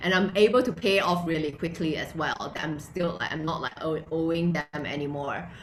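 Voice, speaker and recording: Over noticeable background noise, a woman with a non-native accent and a fairly low pitch speaks at a moderate pace with ordinary pitch variation. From Malaysia. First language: not English. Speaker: entrepreneur and blogger. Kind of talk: interview. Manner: animated.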